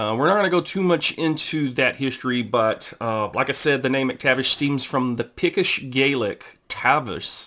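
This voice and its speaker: With a Southern US accent, a man speaks at a fairly high pitch in a bright, sharp tone. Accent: southern drawl. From Texas. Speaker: amateur family historian, YouTuber. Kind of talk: informal history talk reading from a book. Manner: halting, many fillers.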